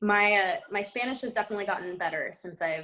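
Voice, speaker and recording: With music in the background, a woman of medium pitch speaks at a fairly quick pace using lively intonation. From US Northeast, New Jersey. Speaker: winery owner and winemaker. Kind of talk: panel discussion. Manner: casual, many fillers.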